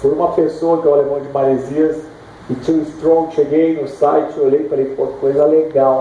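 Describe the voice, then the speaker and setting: Over noticeable background noise and audible room echo, a man talks at a moderate pace with a fairly high pitch. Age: 50s. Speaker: surfer and author. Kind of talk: book launch talk. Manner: casual, halting.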